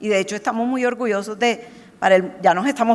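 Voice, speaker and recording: A woman speaks with ordinary pitch variation. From Colombia. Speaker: marketing executive. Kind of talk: panel discussion. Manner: animated.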